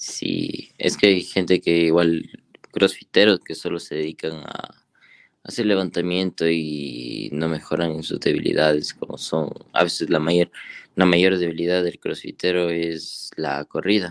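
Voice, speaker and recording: Fairly even in intonation, a man speaks at a fairly slow pace in a very deep, low pitch. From Ecuador, Ambato. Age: 20s. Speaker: CrossFit athlete. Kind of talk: casual interview.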